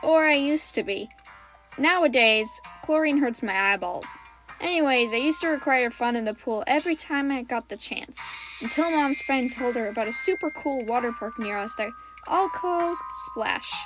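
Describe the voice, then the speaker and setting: With music in the background, a woman speaks at a moderate pace in a high pitch with lively intonation. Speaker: storytime animator. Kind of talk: storytime narration. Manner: comedic, upbeat.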